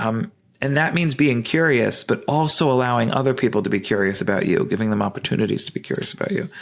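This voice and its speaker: Someone with a New York accent talks at a very fast pace with lively intonation. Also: man, medium pitch for a man. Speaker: evolutionary biologist and sex researcher. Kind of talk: podcast interview. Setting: at home, remote call. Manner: hesitant, many fillers.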